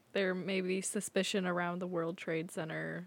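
A woman with an American accent talks at a fairly slow pace and a medium pitch. It is a plain, everyday voice. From Eastern Washington, US. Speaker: guest co-host. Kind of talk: casual chat.

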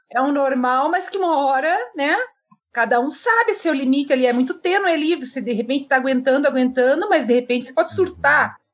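Her pitch is high, and her intonation is lively. The woman talks at a fairly quick pace. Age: 40s. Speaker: political candidate and live stream host. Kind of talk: interview on live stream. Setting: live stream.

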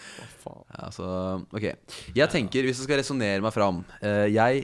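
In a plain, everyday voice, a man talks at a moderate pace with ordinary pitch variation on a very clean recording with a silent background. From eastern Norway (Follo, Krokstad). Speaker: radio host. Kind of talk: casual radio chat.

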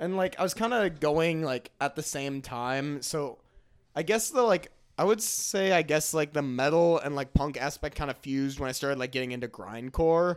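On a very clean recording with a silent background, a man with an unremarkable speaking voice talks at a moderate pace and a fairly high pitch, with ordinary pitch variation. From Twin Cities suburb, Minnesota. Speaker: college student, hardcore music fan. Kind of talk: casual chat. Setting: friend's house.

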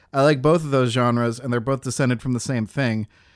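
A man with a plain, everyday voice at medium pitch, fairly even intonation, on a very clean recording with a silent background. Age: 20s. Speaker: indie game developer and podcast co-host. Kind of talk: casual chat.

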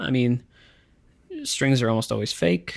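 A man talks in an ordinary speaking voice, pitched in the middle, at an average speed with normal pitch movement. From Ottawa, Canada. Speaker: musician, singer-songwriter. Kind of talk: casual interview chat. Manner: casual, hedging, many filler words.

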